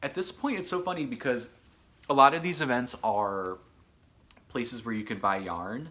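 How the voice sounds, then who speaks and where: Speaking with a Michigan accent, a man has a medium pitch and an animated tone with very wide pitch swings. His pace is moderate, broken by long, frequent pauses. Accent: sounds like Michigan people. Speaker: knitting podcaster. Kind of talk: casual chat. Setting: home studio.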